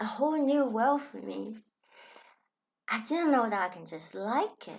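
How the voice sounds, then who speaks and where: A woman speaks with a Chinese accent and lively intonation. Her pace is fairly slow. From Hong Kong. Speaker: spiritual self-help vlogger. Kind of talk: reflective personal vlog talk.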